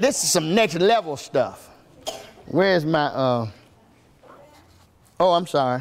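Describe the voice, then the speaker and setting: Speaking at a fairly slow pace with long, frequent pauses, a high-pitched man sounds animated, with lively intonation, very even loudness and audible room echo. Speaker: pastor. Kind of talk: sermon.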